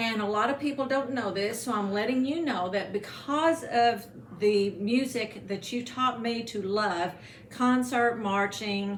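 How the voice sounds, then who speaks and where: Over noticeable background noise, a woman with an American accent speaks fairly slowly at a fairly high pitch with ordinary pitch variation. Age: 60s. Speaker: former band student. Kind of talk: casual chat. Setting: home.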